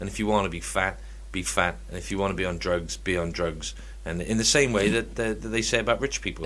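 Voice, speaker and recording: A man with a very deep, low voice and vocal fry talks at a very fast pace, his pitch swinging very widely, with audible room echo around him. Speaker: podcast co-host. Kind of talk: casual chat.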